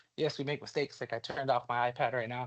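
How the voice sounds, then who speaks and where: A man speaks at a medium pitch with fairly even intonation. The background is quiet. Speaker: teacher leading a training session. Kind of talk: workshop presentation. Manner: fast; casual, with fillers and repetitions.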